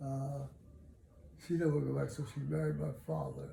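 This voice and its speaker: A man with an American accent at a moderate pace, amid audible room echo. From Los Angeles, California. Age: 90s. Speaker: elderly interviewee. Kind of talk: oral history interview. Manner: halting, many fillers.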